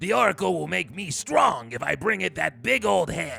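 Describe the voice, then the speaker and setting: A man's put-on character voice at medium pitch and moderate pace, with faint music in the background. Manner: gruff, boastful.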